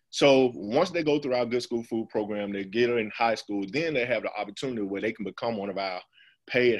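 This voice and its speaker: In a quiet background, a man's medium-pitched voice moves with ordinary pitch variation. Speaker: school farm program manager. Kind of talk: webinar presentation. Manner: fast.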